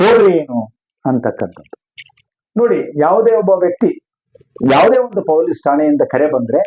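Speaking in a high pitch, a man makes very wide pitch swings. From Sandur, Ballari district, Karnataka. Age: old. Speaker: lawyer. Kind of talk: interview. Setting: lawyer's office. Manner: formal.

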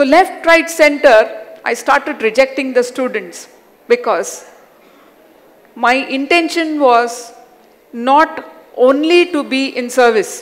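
Very slowly and with long, frequent pauses, a woman with a Hyderabadi accent speaks at a high pitch with lively intonation. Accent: Indian English (Hyderabadi). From Hyderabad, India. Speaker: educator and self-awareness coach. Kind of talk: personal life story talk. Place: stage. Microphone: headset.

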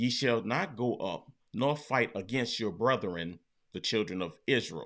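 There's a quiet background behind this man. He speaks fairly slowly with lively intonation. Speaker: bible teacher. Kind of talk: bible study teaching. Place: home room.

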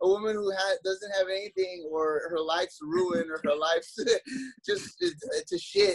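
At a fairly slow pace, a man with a high pitch, vocal fry and a slightly husky edge speaks with lively intonation.

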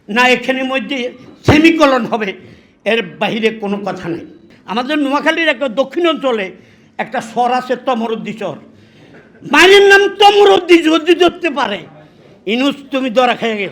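In an animated tone, a man speaks at an extremely high pitch with very wide pitch swings. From Bangladesh, Noakhali (Lakshmipur). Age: 80s+. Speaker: war veteran. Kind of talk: political speech.

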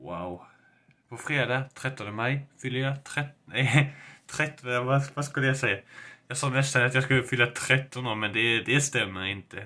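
A man's bright, sharp voice at a medium pitch, with ordinary pitch variation. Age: 20s. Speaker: gaming YouTuber; vlogger. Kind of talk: casual vlog to camera. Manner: animated. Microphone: webcam.

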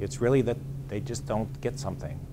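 Noticeable background noise runs under the recording. A man with an American accent talks at a fairly quick pace with fairly even intonation. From western Pennsylvania. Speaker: psychologist and ordained clergyman; presenter. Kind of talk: lecture. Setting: stage with audience. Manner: fast talker. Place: meeting room.

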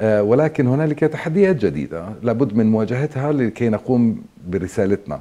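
A man talks with hardly any pauses, very wide pitch swings and a dark, mellow tone. His loudness stays very even. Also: moderate pace. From Palestine, Zababdeh near Jenin; Palestine. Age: 50s. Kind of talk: interview. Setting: archdiocese office in Amman. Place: hall. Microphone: lapel.

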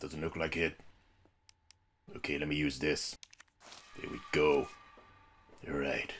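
In a put-on character voice, a man growls out raspy, very deep, low tones at a moderate pace, broken by long, frequent pauses. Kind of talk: let's play commentary. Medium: puppet. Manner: upbeat, playful.

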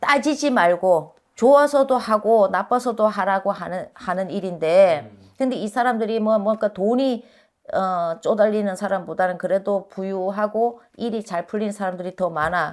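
A woman talks at a moderate pace and medium pitch with ordinary pitch variation, on a very clean recording with a silent background. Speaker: fortune teller / shaman. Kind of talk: fortune-telling talk. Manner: hesitant, many fillers.

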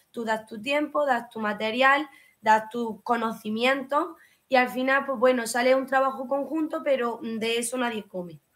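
A woman speaks at a fairly slow pace in a high pitch with a fairly even intonation, her loudness swinging widely. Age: 20s. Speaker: hairdresser; interview guest. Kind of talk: interview. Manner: halting. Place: home room.

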